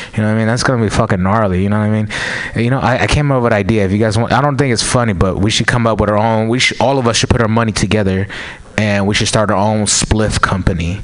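A man's fairly low voice at a very fast pace, with very even loudness, fairly even intonation and noticeable background noise. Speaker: stand-up comedian. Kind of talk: stand-up. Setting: stage with audience.

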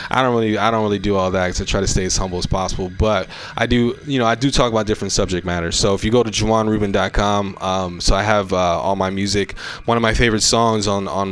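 A man with an American accent talks at a very fast pace. His pitch is fairly low and his intonation fairly even. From California Bay Area. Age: 30s. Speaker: comedian and Baptist minister. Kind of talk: casual chat.

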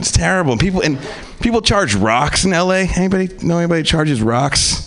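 A man's pitch swings very widely as he talks over noticeable background noise. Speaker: comedian. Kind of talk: stand-up. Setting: stage with audience.

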